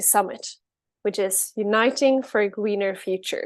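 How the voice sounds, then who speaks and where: Speaking with a Swedish accent, a woman talks at a moderate pace with ordinary pitch variation. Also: quiet background. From Sweden. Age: 20s. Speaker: climate advocate, keynote speaker. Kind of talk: keynote speech.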